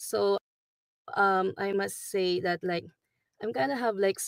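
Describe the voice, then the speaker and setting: In a Filipino accent, a woman speaks at medium pitch with fairly even intonation, the sound dry and close with no echo. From Philippines. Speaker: nurse. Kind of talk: interview testimony. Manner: halting, many fillers.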